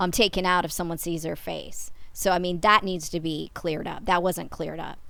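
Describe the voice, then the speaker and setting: A loud woman's voice at a moderate pace, with fairly even intonation. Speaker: YouTuber analysing a TV series. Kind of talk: commentary monologue.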